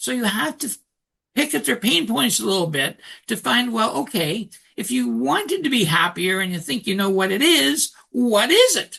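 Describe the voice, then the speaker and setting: A man projects a raised voice at a high pitch, bright and sharp in tone. His pitch swings very wide over a quiet background. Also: moderate pace. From Canada. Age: 60s. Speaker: author and coach. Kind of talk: interview.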